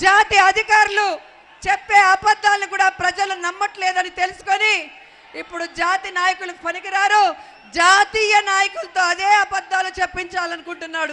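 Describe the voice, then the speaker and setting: In a raised, projected voice, a woman with an extremely high pitch and a bright, sharp tone speaks in a monotone, flat intonation. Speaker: politician giving a campaign speech. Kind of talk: political rally speech. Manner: loud, rhetorical, crowd-addressing.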